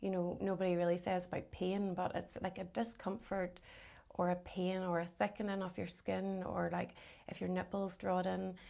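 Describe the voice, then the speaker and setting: A woman's dark, mellow voice with a Northern Irish accent and monotone, flat intonation, on a very clean recording with a silent background. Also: medium pitch for a woman, moderate pace. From Northern Ireland, County Londonderry. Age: 40s. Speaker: cancer survivor. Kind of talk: casual interview.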